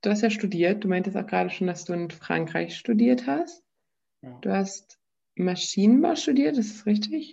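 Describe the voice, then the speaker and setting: With a dark, mellow tone and vocal fry, a woman speaks in very wide pitch swings and big swings in loudness. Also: medium pitch for a woman, moderate pace. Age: 20s. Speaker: podcast host. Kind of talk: casual interview.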